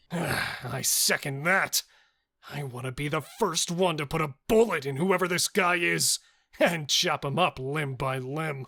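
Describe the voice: Put-on character voice from a man, fairly high in pitch and fairly slow in pace. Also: dry, close sound with no echo.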